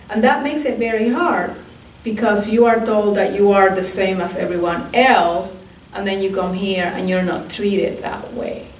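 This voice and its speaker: A woman talks at a medium pitch with ordinary pitch variation as noticeable background noise plays behind her. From Puerto Rico. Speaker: archivist and museum curator. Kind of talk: oral history interview answer.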